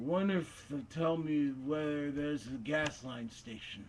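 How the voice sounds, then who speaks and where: At a fairly slow pace, a man puts on a character voice with a fairly high pitch. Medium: read story. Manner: calm, oblivious.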